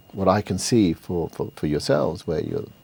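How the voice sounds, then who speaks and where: The pace here is moderate. It belongs to a man with a British accent. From UK, British Bangladeshi. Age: 60s. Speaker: entrepreneur. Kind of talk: TV interview.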